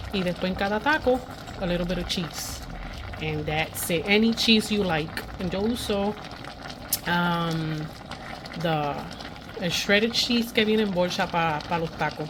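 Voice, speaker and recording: Over noticeable background noise, a woman with a fairly low pitch speaks at a fairly slow pace, with long, frequent pauses. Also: ordinary pitch variation. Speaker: vlogger. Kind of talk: casual vlog narration. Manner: speaking quietly.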